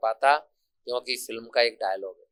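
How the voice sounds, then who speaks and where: A man of medium pitch is heard with a dry, close sound and no echo. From India, Gwalior-Chambal region (Morena district). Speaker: college principal. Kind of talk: interview. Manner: impassioned, declamatory.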